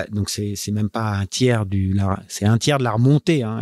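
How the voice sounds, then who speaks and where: The background is silent and the recording very clean. This man's pitch varies in an ordinary way as he talks at a moderate pace. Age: 40s. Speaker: offshore sailing skipper. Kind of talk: interview. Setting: team premises. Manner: halting.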